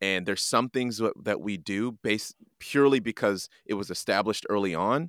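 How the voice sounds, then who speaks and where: A man with a Canadian accent and a normal speaking voice, lively intonation, and a dry, close sound with no echo on a very clean recording with a silent background. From Canada, raised by parents from Montreal; born in Jamaica. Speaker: creative director and podcast host at a ministry. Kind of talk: casual interview conversation.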